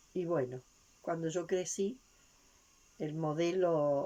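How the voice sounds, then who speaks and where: A woman talks at a very slow pace in a very deep, low pitch. Her tone is dark and mellow. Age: 70s. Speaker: spiritual teacher. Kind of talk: lecture. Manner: halting.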